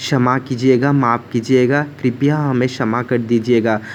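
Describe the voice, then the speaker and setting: Monotone, flat intonation in a Bengali accent. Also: man. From West Bengal, India. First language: Bengali (speaking Hindi). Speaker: devotional vlogger. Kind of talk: home worship tutorial vlog.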